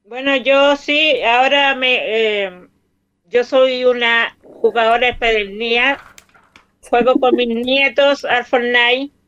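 Speaking at a very slow pace, a woman holds a high pitch, fairly even intonation and very even loudness. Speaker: retired hospital worker. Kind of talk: casual chat.

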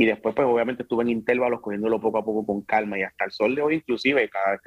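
A man with an ordinary speaking voice talks at medium pitch with fairly even intonation. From Puerto Rico, Carolina and Bayamón. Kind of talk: casual interview.

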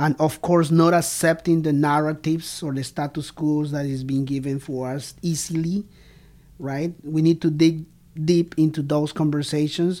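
Someone with a Spanish accent speaks at a moderate pace in a very clean recording with a silent background. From Colombia, Bogota. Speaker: podcast host, language educator. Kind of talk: interview conversation. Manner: halting, many fillers.

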